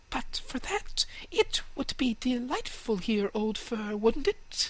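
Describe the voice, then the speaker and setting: Fairly slow and fairly high-pitched, a put-on character voice. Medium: read story. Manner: eager, inquisitive.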